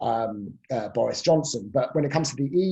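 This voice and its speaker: With a British accent, a man talks at a fairly quick pace in a fairly high, somewhat breathy voice, his dark, mellow tone carrying lively intonation. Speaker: professor. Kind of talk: panel Q&A on politics.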